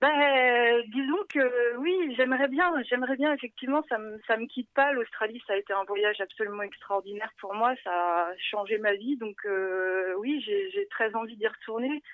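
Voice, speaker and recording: A woman speaks at a fairly slow pace in a high voice, her intonation lively and her speech almost free of pauses. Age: 30s. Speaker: travel blogger and web writer. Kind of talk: casual radio interview.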